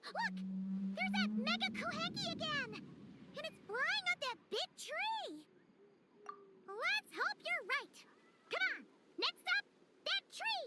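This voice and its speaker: A squeaky, extremely high put-on character voice at a fairly slow pace with long, frequent pauses. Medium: video game. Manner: lively, talkative, enthusiastic.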